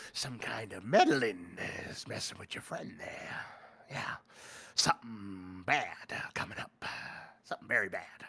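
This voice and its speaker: A man whispers in a put-on character voice. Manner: ominous, warning.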